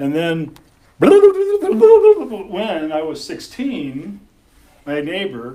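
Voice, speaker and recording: A man with an American accent. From California. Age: 60s. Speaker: storyteller. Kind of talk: storytelling. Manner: animated.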